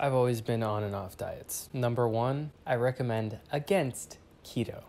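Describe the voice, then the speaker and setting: At a moderate pace, a man speaks with a dark, mellow tone, medium pitch and ordinary pitch variation. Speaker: vlogger. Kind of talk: casual monologue. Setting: at home. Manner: quiet.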